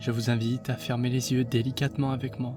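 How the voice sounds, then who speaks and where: A soft-spoken man with a gentle tone speaks at a fairly slow pace and a medium pitch. His intonation stays monotone and flat, with music playing in the background. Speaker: meditation guide. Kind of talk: guided meditation. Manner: soft, gentle.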